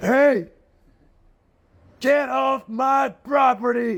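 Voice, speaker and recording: A man's shouted, put-on character voice at an extremely high pitch. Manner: gruff, commanding, threatening.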